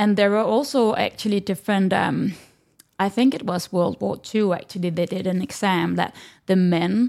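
Speaking with a Danish accent, a woman has a medium pitch and ordinary pitch variation. The recording is very clean, with a silent background. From Denmark. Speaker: breathwork instructor. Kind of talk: interview. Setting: in person, with video.

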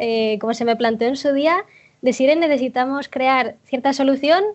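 A woman's high-pitched voice at a moderate pace. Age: 20s. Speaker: UX/UI designer and web developer. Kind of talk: casual interview chat.

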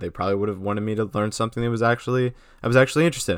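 With an animated tone, a man talks at a very fast pace and medium pitch. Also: very clean recording, silent background. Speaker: podcast host. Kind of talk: solo monologue.

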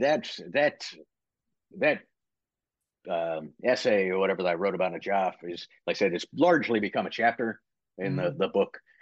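With an American accent, a man talks at a fairly low pitch and a moderate pace. His intonation is lively, and the background is quiet. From Virginia / West Virginia border, US. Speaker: retired Marine, military training director. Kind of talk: casual interview.

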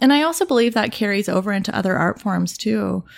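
A woman with a Canadian accent and vocal fry. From Toronto, Canada. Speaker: portrait photographer. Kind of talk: casual interview. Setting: guest's apartment.

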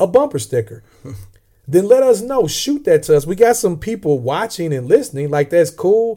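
A man talks with a Southern US accent. His tone is dark and mellow. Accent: Southern US, mild. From Southern Illinois, US. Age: 40s. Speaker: podcast co-host. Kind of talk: casual chat, faith discussion.

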